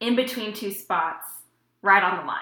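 A woman speaks with an American accent. Her pitch varies in an ordinary way. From Houston, Texas. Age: late 20s. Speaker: tech worker, aspiring dietitian. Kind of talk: casual chat.

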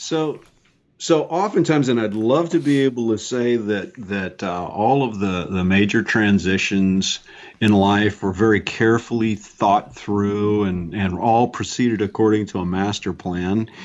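A man with an American accent speaks at a fairly slow pace in a normal speaking voice, his fairly low pitch moving with ordinary variation. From US South, New Orleans. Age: 50s. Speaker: leadership consultant and business owner. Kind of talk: interview.

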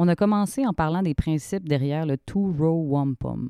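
With a Quebec accent, the voice has a dark, mellow tone, a moderate pace and ordinary pitch variation, recorded dry and close with no echo. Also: woman. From Quebec, Shawinigan. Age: 30s. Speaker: podcast host. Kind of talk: interview conversation; scripted narration.

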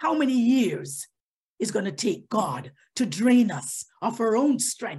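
Her voice sits fairly high for a woman, animated in tone and marked by vocal fry. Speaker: lay preacher. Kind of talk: sermon. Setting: online service. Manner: loud.

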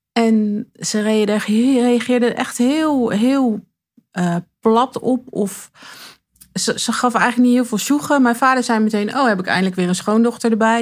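This woman's pitch is fairly high and varies in an ordinary way as she speaks very slowly. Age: 40s. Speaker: interviewee sharing coming-out story. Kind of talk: personal interview. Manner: halting.

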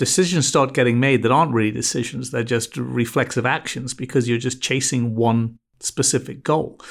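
Medium-pitched with ordinary pitch variation, a man with an American accent speaks at a fairly quick pace on a very clean recording with a silent background. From England. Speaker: branding agency CEO. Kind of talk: interview conversation.

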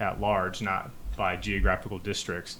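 Fairly low in pitch and marked by vocal fry, a man speaks in a bright, sharp tone with fairly even intonation. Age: 30s. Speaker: interviewer. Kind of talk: interview.

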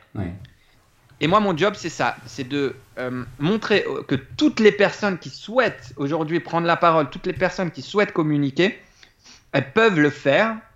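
This man's pitch sits fairly high. He talks at a moderate pace with lively intonation. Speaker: public speaking coach. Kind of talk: casual interview.

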